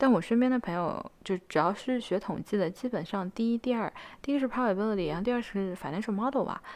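Over a quiet background, a woman speaks at a very fast pace. Her pitch variation is ordinary. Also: medium pitch for a woman. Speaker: student vlogger. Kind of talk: casual advice talk to camera. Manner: frequent fillers and hesitations.

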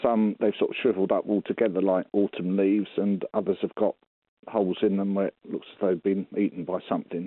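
A man talks at a fairly quick pace in a fairly low pitch. His intonation stays monotone and flat. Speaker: caller. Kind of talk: casual phone-in question. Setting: phone call.

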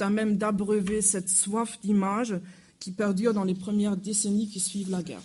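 At a moderate pace, the speaker talks with a non-native accent. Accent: noticeable foreign accent in French. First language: German (speaking French). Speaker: historian. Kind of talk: lecture. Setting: museum lecture hall with audience. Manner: somewhat halting.

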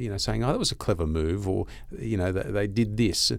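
A man with an Australian accent and lively intonation, in a very clean recording with a silent background. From Australia, Gold Coast. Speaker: financial newsletter writer. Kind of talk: casual chat. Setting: studio.

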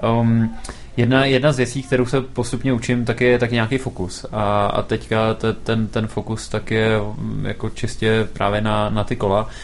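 A man's monotone, flat intonation comes through noticeable background noise. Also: medium pitch for a man, moderate pace. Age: 20s. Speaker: startup founder. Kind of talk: interview.

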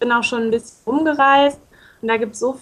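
The speaker is a woman with a high voice. Her intonation remains fairly even. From northern Hesse, Germany (Baunatal). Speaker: intern abroad. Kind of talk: radio interview. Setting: Skype call.

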